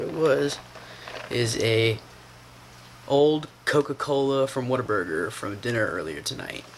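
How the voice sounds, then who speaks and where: Long, frequent pauses break up speech at a moderate pace, with big swings in loudness, ordinary pitch variation and noticeable background noise. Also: man. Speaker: vlogger. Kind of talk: casual vlog narration. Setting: at home, in the kitchen at night.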